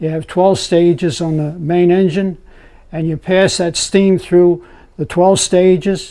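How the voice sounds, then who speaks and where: A man with an American accent talks at a moderate pace in a high, dark, mellow voice with fairly even intonation, against a quiet background. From US Mid-Atlantic (Pennsylvania). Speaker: former navy machinist's mate, oral history interviewee. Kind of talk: oral history interview recollection. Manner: halting, repeats words. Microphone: lapel.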